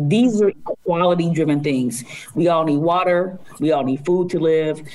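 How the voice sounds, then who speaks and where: A woman talks with a very deep, low pitch and fairly even intonation. Noticeable background noise sits behind her. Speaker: city equity officer. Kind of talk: casual interview conversation.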